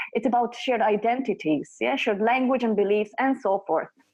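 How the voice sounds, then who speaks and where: A woman in a normal speaking voice talks at a fairly high pitch with ordinary pitch variation. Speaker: consultant presenting on workplace culture. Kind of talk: presentation.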